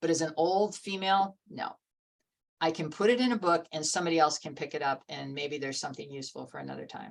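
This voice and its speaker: With vocal fry, a woman speaks at a very fast pace. Her pitch is very deep and low. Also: ordinary pitch variation. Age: 70s. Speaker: environmental activist and author. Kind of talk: casual chat. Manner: animated.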